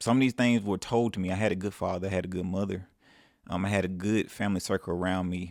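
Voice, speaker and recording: The voice keeps a fairly even intonation on a very clean recording with a silent background. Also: man, very deep, low pitch for a man. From Mississippi. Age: 30s. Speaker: self-improvement vlogger. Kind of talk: casual advice monologue.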